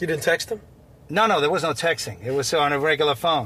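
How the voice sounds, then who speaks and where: A man's voice in a Long Island accent, with ordinary pitch variation. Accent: Long Island New York. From Long Island, New York. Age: 50s. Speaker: basketball coach. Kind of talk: casual interview. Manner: halting, many fillers.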